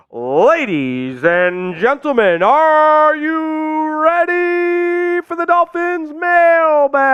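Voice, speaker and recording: Delivered at a very slow pace with hardly any pauses, the put-on character voice sits at a high pitch. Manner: excited, showy.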